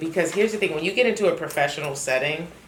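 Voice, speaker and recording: A woman speaks with a fairly low voice. Background noise is clearly audible. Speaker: voice actor. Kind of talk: casual talk to camera. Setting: home closet studio.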